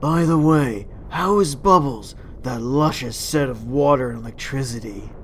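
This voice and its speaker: Over clear background noise comes a cartoonish character voice at a low-to-middle pitch. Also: moderate pace. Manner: chatty, complaining.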